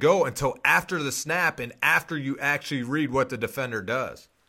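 A man speaks at a moderate pace in a fairly high pitch, his tone bright and sharp, with ordinary pitch variation on a very clean recording over a silent background. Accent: American. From Pittsburgh, Pennsylvania. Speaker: former NFL quarterback, podcast host. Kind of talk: casual football analysis.

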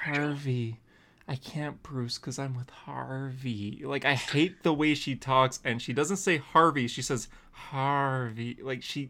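This man's voice has a bright, sharp tone and medium pitch, with fairly even intonation. He talks at a very slow pace on a very clean recording with a silent background. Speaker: podcast co-host. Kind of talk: casual chat.

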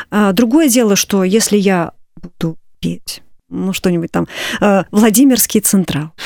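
A woman's dark, mellow voice at medium pitch, very slow, with lively intonation and long, frequent pauses. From Moscow, Russia. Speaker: composer and church choir director. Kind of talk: radio interview. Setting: studio.

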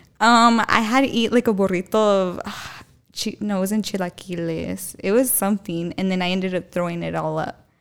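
Using a plain, everyday voice, a woman at a medium pitch talks at a moderate pace with ordinary pitch variation. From Tucson, Arizona. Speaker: TikTok influencer. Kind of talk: casual chat. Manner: laughs often, chatty.

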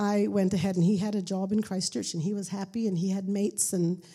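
A woman's somewhat breathy voice, dark and mellow in tone, medium in pitch, at a moderate pace with ordinary pitch variation. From Pakistan (missionary boarding school). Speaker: missionary. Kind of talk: testimony.

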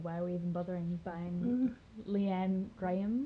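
A woman talks at a moderate pace in a medium pitch with ordinary pitch variation. Noticeable background noise runs behind her. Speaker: podcast host. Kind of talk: casual chat.

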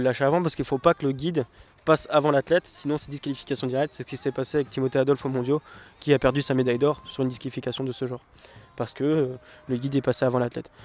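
A man at medium pitch talks in a monotone, flat intonation, with a dry, close sound and no echo. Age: 20s. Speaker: para-athlete, sprinter. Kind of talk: interview.

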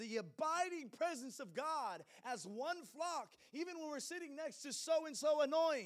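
An animated man with an extremely high pitch, lively intonation and a moderate pace. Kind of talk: sermon.

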